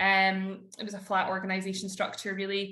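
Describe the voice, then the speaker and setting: A woman with a Scottish accent speaks at a moderate pace, with audible room echo. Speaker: corporate lawyer. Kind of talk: podcast interview.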